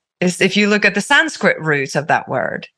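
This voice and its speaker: In a Finnish accent, a woman speaks against a quiet background. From Finland. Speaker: activist and healing artist. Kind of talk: casual chat. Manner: halting.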